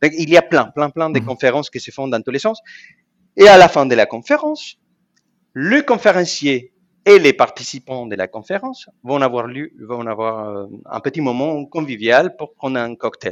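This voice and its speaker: A man with a Spanish accent at a moderate pace and fairly high pitch, with lively intonation and big swings in loudness, in a dry, close sound with no echo against a quiet background. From Argentina. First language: Spanish (speaking French). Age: 40s. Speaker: professional association president. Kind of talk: interview.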